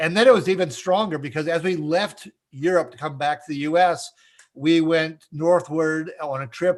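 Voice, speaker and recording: Speaking with an Upper Midwest accent, this man has a fairly high pitch. His pace is moderate. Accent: Upper Midwest American. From US Midwest, Minnesota. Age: 60s. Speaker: author and trainer on facial expressions. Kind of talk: interview.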